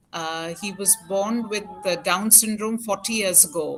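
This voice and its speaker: A woman's fairly slow speech with ordinary pitch variation, over music in the background. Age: 60s. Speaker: parent of a child with Down syndrome, organization founder. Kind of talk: interview. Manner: halting, many fillers.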